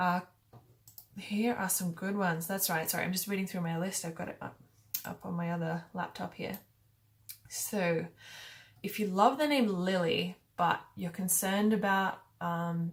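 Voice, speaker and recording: A woman with an Australian accent speaks at a moderate pace, her voice somewhat breathy. Her intonation is fairly even, broken by long, frequent pauses. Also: medium pitch for a woman. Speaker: YouTuber. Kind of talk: casual talk to camera. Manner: casual, hesitant with fillers.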